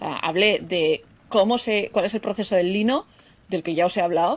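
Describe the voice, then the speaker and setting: A woman with a Basque accent speaks with lively intonation. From Basque Country. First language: Basque (speaking Spanish). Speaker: podcast host, textile crafter. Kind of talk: solo podcast talk.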